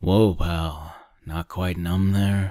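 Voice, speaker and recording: A man's gruff, put-on character voice, very deep and low in pitch, with monotone, flat intonation. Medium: read story. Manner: gruff, curt, calls everyone pal.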